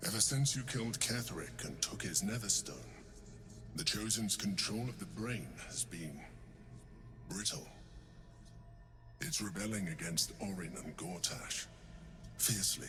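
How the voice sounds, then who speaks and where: A man puts on a character voice, fairly low in pitch, at a moderate pace. Long, frequent pauses break his speech, and background noise is clearly heard. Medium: video game. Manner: measured, formal, deliberate.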